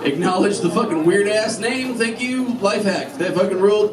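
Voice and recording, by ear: A man talks at a high pitch and a moderate pace. Clear crowd noise and clear background noise sit behind him. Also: ordinary pitch variation.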